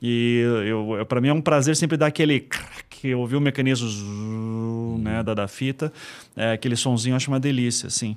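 Medium-pitched male speech at a moderate pace, with fairly even intonation. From Curitiba, Paraná, Brazil; Paraná, Brazil. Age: 40s. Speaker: podcaster and investigative journalist; podcast guest. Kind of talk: interview conversation. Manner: relaxed. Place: studio. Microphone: studio mic.

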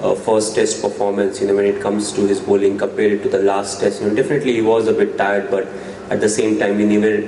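A man talks very fast at a fairly low pitch, in a flat monotone and at very even loudness. Light background noise and audible room echo are present. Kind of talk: press conference answers. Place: meeting room. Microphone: podium.

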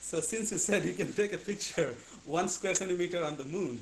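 A man speaks with ordinary pitch variation. Light background noise sits behind him. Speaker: physicist asking questions; questioner. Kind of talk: audience Q&A. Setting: video call. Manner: halting. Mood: playful, curious. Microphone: video call.

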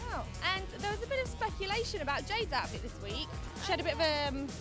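A woman talking at a very fast pace, clear music behind her, the sound dry with no echo. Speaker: TV presenter. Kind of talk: street vox pop interviewer, casual. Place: street. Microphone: handheld.

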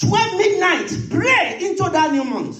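Clearly audible noise sits behind the speech. The speaker is a man. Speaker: pastor. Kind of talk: sermon. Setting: church. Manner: fervent, rhythmic, repeating phrases; loud, urgent pleading in prayer.

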